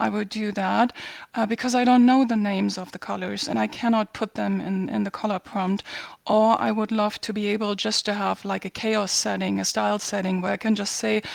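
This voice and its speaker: A woman with a German accent speaks at a fairly quick pace. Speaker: community member asking questions. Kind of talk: question to host.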